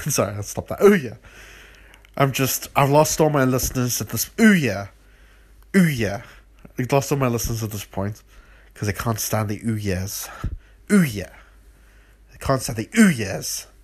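The speaker talks at a fairly slow pace with long, frequent pauses and a somewhat breathy quality. Intonation is lively, and loudness swings widely. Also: man. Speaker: solo podcaster. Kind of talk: casual solo monologue. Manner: playful, repetitive vocal noises.

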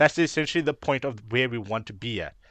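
A man speaks with ordinary pitch variation. The sound is dry and close with no echo, against a quiet background. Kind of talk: casual chat.

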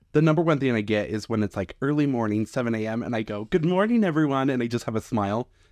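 A man with an American accent, medium pitch and lively intonation, very fast pace with hardly any pauses, against a quiet background. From US West. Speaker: wedding venue manager. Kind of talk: casual chat.

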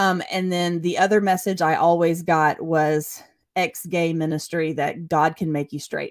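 In a Southern US accent, a woman with a fairly low pitch and fairly even intonation speaks at a fairly slow pace in a very clean recording with a silent background. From US South, Chattanooga, Tennessee. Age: 40s. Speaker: ministry worker. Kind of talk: testimony. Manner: halting.

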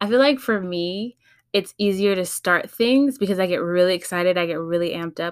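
In a Californian accent, a woman speaks at a moderate pace with lively intonation on a very clean recording with a silent background. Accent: Californian American English. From California, San Fernando Valley (LA County). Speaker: podcast host. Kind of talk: casual solo podcast intro.

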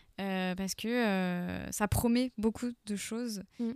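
The recording is very clean, with a silent background and a dry, close sound free of echo. A woman speaks at medium pitch. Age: 30s. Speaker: queer association volunteer. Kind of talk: radio panel discussion.

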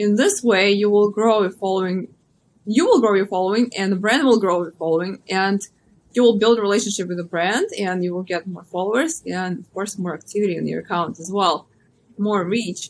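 This woman's medium-pitched voice moves at a moderate pace, its pitch varying in an ordinary way. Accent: Russian. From Russia. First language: Russian. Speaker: social media influencer and model. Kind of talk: interview.

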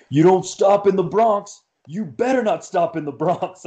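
A man shouts in a gruff, put-on character voice pitched high, speaking at a moderate pace. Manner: yelling, gruff.

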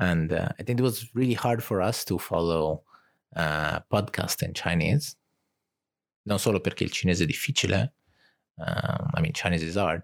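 A man with an Italian accent and a very deep, low voice speaks at a moderate pace with lively intonation and long, frequent pauses, the recording very clean with a silent background. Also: dry, close sound with no echo. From Italy. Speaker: podcast co-host. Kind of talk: casual chat.

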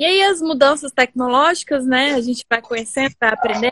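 A woman's raised, projected voice, high in pitch, at a moderate pace over background music. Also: dry, close sound with no echo. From Brasília, Brazil. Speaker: environmental consultant and community creator. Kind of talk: casual interview on live stream. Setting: home office, live video.

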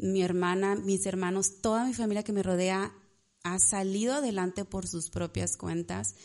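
Against a quiet background, a woman with a dark, mellow tone speaks at a fairly slow pace with medium pitch and ordinary pitch variation. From Mexico, Ciudad Victoria, Tamaulipas. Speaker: pastry chef and entrepreneur. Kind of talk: casual chat.

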